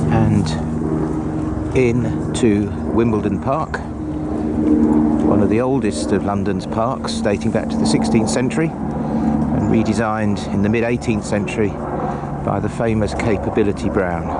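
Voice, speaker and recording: Lively intonation at a fairly slow pace and very even loudness, with audible room echo and noticeable background noise. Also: man, very deep, low pitch for a man. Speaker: walking vlogger. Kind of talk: travel vlog narration. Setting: outdoors.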